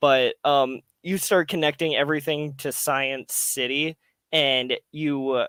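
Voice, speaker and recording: Very slow, fairly even delivery from a man with a fairly high pitch and a bright, sharp tone, dry and close with no echo, on a very clean recording with a silent background. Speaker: podcast co-host. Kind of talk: casual chat. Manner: halting, filler-heavy.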